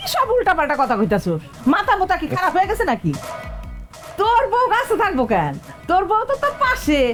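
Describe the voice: Over faint music in the background, a woman uses a put-on character voice, extremely high in pitch with very wide pitch swings, a fairly bright tone and a fairly quick pace.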